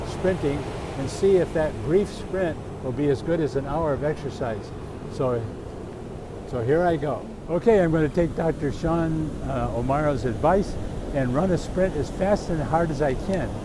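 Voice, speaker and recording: Noticeable background noise and audible room echo surround a man with an American accent. His pitch is fairly high, his pace moderate and his pitch variation ordinary. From US Midwest, Michigan. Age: 80s+. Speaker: physician. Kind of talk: casual health talk to camera. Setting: outdoors on a beach.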